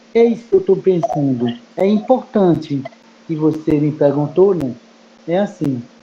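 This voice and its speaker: Fairly slow speech broken by long, frequent pauses, with noticeable background noise. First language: Mebengokre (Kayapó) (speaking Portuguese). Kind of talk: group discussion. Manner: halting.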